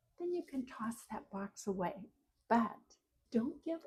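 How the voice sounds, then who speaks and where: A woman's somewhat breathy, dark and mellow voice with very wide pitch swings. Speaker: retirement lifestyle vlogger. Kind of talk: motivational talk to camera. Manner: earnest, encouraging.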